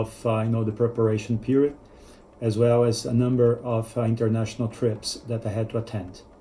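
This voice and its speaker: A man with a non-native accent talks at a fairly quick pace, his somewhat breathy voice dark and mellow in tone and flat and monotone in intonation. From Brazil. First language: Portuguese. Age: 40s. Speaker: business executive, test-prep student. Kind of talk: testimonial. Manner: hesitant, many fillers.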